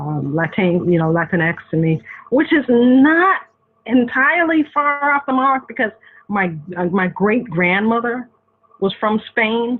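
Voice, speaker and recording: Lively intonation carries a slight Boston accent. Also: woman. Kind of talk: interview.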